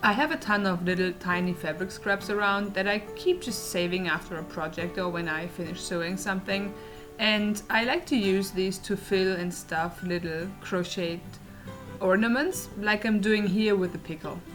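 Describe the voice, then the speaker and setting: With a German accent, the speaker talks at a moderate pace with ordinary pitch variation while music plays in the background. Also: woman, medium pitch for a woman. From Germany. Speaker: crochet crafter. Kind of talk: casual talk to camera.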